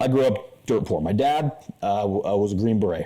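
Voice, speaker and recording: There is noticeable background noise behind this man. He talks at a fairly quick pace with ordinary pitch variation. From Utah. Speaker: podcast host. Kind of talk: casual chat.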